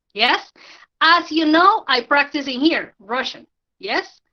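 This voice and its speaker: A woman speaks in a Spanish accent with a raised, projected voice. Her tone is bright and sharp, and her intonation is lively. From Colombia. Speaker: language teacher. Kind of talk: online tutorial. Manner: halting, with many fillers.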